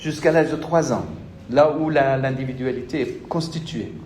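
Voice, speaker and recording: A man's very slow speech carries audible room echo. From Senegal. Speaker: university lecturer. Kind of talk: lecture. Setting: classroom with students. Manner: interactive, addresses students directly.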